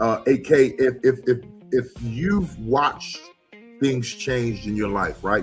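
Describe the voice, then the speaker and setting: A man at a very slow pace with ordinary pitch variation, music playing in the background. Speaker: live show host. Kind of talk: live show host interviewing a co-host.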